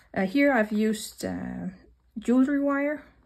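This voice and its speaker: Dark and mellow in tone, a woman speaks with a somewhat breathy quality. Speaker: craft tutorial presenter. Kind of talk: tutorial. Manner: hesitant, many fillers.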